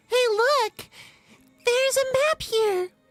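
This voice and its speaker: The put-on character voice is squeaky. Music plays in the background. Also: female-sounding voice, extremely high pitch for a woman. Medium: actual play. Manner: earnest.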